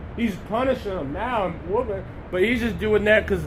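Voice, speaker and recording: Loud and high-pitched, a man talks at a fairly quick pace with ordinary pitch variation. Noticeable background noise and audible room echo fill the recording. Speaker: street preacher. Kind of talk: sermon.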